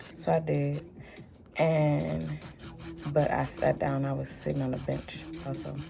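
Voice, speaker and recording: A woman with an American accent, talking at a very slow pace over noticeable background noise. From Houston, Texas. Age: 30s. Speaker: tarot reader and music producer. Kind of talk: casual vlog monologue.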